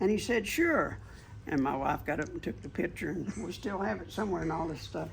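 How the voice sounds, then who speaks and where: Man with a Southern US accent at a fairly quick pace, with noticeable background noise. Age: 70s. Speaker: NASCAR memorabilia collector. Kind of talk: interview.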